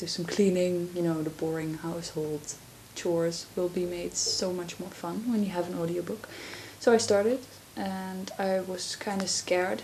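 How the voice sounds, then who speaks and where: A woman with a Dutch accent speaks at a fairly slow pace in a fairly low voice, with noticeable background noise. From Netherlands. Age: 20s. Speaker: vlogger. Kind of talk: casual chat. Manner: soft-spoken; halting.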